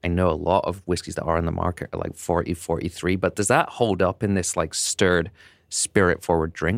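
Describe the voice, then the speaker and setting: The sound is dry and close, with no echo. A man talks at a very deep, low pitch. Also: very clean recording, silent background. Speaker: podcast host. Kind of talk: casual interview. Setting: studio.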